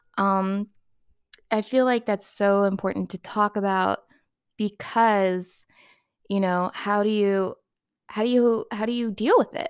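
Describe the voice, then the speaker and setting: On a very clean recording with a silent background, a woman speaks at a fairly slow pace and medium pitch with fairly even intonation and long, frequent pauses. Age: 30s. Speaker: podcast host and caregiver of brain injury survivor. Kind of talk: casual solo talk to listeners.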